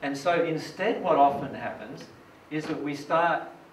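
Light background noise and audible room echo surround the recording. A man speaks at a fairly slow pace. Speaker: presenter. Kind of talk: lecture. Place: hall.

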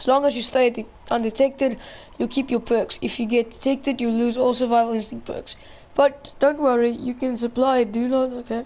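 A high-pitched woman, fairly quick and monotone with flat intonation, over noticeable background noise. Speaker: gaming YouTuber. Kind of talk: casual gameplay commentary. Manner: casual, chatty.

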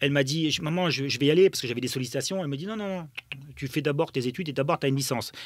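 The voice shows ordinary pitch variation against a quiet background, with a dry sound that has no echo. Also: man. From Germany. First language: German (speaking French). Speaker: former footballer and football pundit; football pundit. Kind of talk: interview storytelling. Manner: halting with many fillers. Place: studio. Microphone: studio mic.

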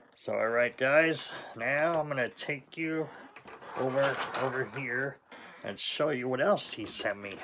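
A man at a fairly slow pace with ordinary pitch variation and long, frequent pauses, over noticeable background noise. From Southern California. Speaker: diecast collector YouTuber. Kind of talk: unboxing video, casual monologue. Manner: relaxed, with sighs and fillers. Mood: enthusiastic, pleased. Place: home room. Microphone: phone near.

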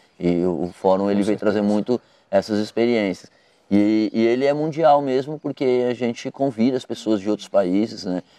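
The man's tone is dark and mellow, with ordinary pitch variation and a moderate pace. The sound is dry, with no echo. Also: medium pitch for a man. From Brazil, São Paulo. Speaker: cycling advocacy coordinator. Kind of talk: interview. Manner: halting, many fillers and repetitions. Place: garden. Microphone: lapel.

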